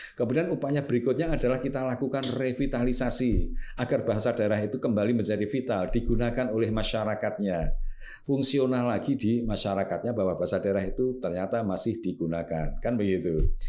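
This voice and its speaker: A man with a Javanese accent, dark and mellow in tone, at a very fast pace with hardly any pauses and very even loudness. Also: medium pitch for a man, ordinary pitch variation. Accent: Javanese-accented Indonesian. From Java, Indonesia. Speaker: government language official. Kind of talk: talk show interview. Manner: formal. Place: studio. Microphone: studio mic.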